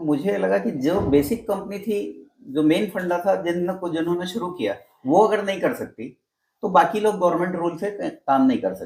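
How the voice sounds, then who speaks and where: With ordinary variation in pitch, a man talks in a high register. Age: 60s. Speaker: network marketing veteran. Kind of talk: interview.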